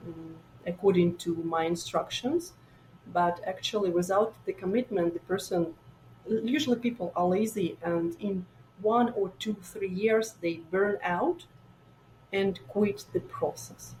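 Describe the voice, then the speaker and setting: Against noticeable background noise, a woman speaks at a fairly slow pace and a medium pitch with ordinary pitch variation. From Ukraine, Donbas (Donetsk). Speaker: immigrant startup founder. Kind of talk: podcast interview. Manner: halting, many fillers.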